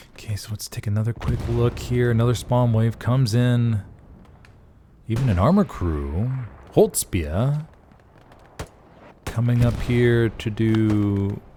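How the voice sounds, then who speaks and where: A man at a medium pitch, fairly slow, with long, frequent pauses and noticeable background noise. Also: ordinary pitch variation. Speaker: game commentator; voice actor. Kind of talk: live esports play-by-play commentary. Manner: casual, conversational.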